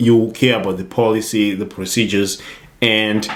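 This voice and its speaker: Moderate pace and medium pitch from a man with a non-native accent. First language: not English. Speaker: IT security youtuber. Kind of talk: casual tutorial monologue. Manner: hesitant, some false starts.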